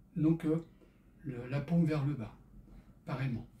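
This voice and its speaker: This man's voice is fairly high in pitch yet dark and mellow in tone. It sounds somewhat breathy, with fairly even intonation. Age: 70s. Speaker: fitness instructor for seniors. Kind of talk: exercise tutorial with casual chat. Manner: halting, many hesitations.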